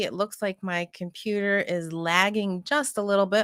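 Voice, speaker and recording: A woman with a plain, everyday voice, medium in pitch, at a fairly slow pace with fairly even intonation, in a very clean recording with a silent background and a dry, close sound with no echo. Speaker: oracle card reader. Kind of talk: live stream card reading. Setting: live stream.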